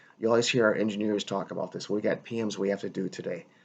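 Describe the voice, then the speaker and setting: Vocal fry runs through this man's speech, delivered at a very fast pace. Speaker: hospitality professor. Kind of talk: recorded lecture. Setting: solo video recording.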